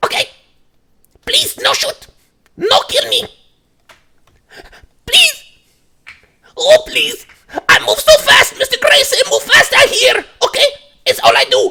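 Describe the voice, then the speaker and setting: An extremely high-pitched, put-on character voice speaks with long, frequent pauses. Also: fairly slow pace. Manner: pleading.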